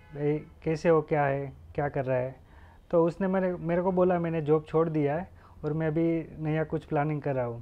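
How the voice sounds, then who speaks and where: A man speaks at a moderate pace with a Gujarati accent. His pitch is fairly high and his intonation fairly even. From Gujarat, India (Junagadh district, rural); Gujarat, India. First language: Gujarati (speaking Hindi). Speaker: guest. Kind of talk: interview. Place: office.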